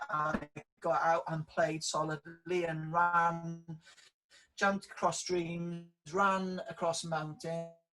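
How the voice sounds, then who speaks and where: A high-pitched man in a strong Welsh accent, fairly slow and monotone, with music in the background. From South Wales valleys, near Merthyr Tydfil. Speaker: public sector leadership director. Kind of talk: interview. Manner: hesitant, many fillers.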